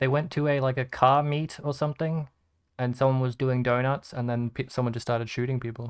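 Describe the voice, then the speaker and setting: With a slight Australian accent, a man talks fairly quickly at a medium pitch in a monotone, flat intonation against a quiet background. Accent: mild Australian. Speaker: gaming podcast host. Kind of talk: casual chat.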